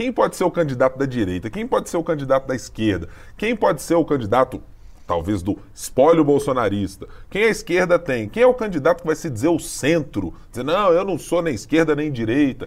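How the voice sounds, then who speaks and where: Speaking at a fairly quick pace, a man uses a fairly high pitch with vocal fry and very wide pitch swings. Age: middle-aged. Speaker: podcast host, political journalist. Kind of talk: political analysis chat.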